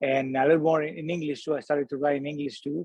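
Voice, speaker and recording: A man speaks with a Spanish accent at a fairly high pitch. His intonation is fairly even. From Colombia. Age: 40s. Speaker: singer-songwriter. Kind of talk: podcast interview. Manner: halting, many fillers.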